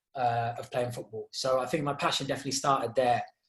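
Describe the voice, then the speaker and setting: A man with an English accent talks in a somewhat breathy voice with monotone, flat intonation. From Zimbabwe. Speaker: charity co-founder and youth mentor. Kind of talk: podcast interview. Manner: hesitant, many fillers.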